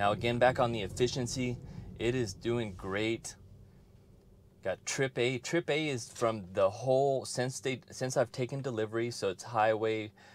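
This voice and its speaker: A man at a moderate pace with fairly even intonation, dry sound with no echo and light background noise. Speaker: car owner vlogger. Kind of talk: casual vlog chat. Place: car.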